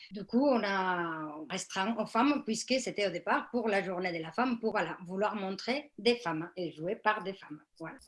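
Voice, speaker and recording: A woman with a non-native accent talks with hardly any pauses. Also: medium pitch for a woman, ordinary pitch variation, fairly slow pace. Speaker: theatre workshop leader. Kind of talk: panel debate answer. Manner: hesitant, many fillers.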